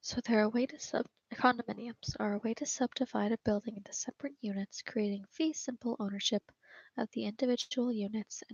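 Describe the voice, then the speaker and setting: Soft-spoken, the speaker moves along at a fairly quick pace. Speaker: ASMR creator. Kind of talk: ASMR study guide reading. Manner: soft-spoken, quiet.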